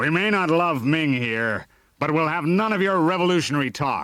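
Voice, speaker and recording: Shouting in a put-on character voice, a man with a fairly high pitch keeps lively intonation and very even loudness in a very clean recording with a silent background. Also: moderate pace. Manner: angry, shouting.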